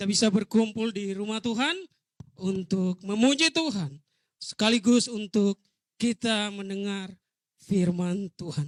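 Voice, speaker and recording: A man's voice, high-pitched, at a fairly slow pace, with ordinary pitch variation and an East Nusa Tenggara accent, in dry, close sound with no echo. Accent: eastern Indonesian (Rote). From Rote Island, East Nusa Tenggara, Indonesia. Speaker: pastor. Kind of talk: sermon. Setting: church.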